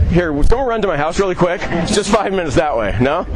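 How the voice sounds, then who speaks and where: Over noticeable background noise, a man speaks loudly at a high pitch with lively intonation. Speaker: chef. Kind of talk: live cooking demo. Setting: outdoors at a farmers' market, live audience.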